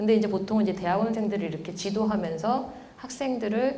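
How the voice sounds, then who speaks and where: A woman at medium pitch and a fairly quick pace, with audible room echo and noticeable background noise. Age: 40s. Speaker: professor. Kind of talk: lecture.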